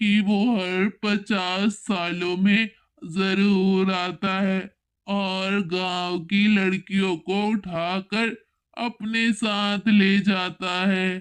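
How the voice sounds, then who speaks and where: A woman puts on a cartoonish character voice at a medium pitch. She speaks at a very slow pace in a monotone, flat intonation. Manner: ominous, knowing.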